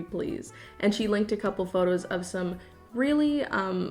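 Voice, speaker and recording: Over music in the background, a woman with a fairly high voice talks at a moderate pace. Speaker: YouTuber. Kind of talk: casual commentary to camera, reading poems aloud. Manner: sarcastic, humorous.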